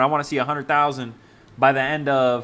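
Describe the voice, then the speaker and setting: Here a man with an American accent has a fairly high pitch and a bright, sharp tone. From Maryland, US. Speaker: real estate wholesaling coach. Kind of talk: live-streamed sales calls and community chat. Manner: animated, energetic.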